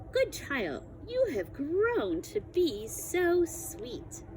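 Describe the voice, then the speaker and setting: Very slow delivery in a put-on character voice, clear background noise behind it. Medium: read story. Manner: falsely sweet, coaxing.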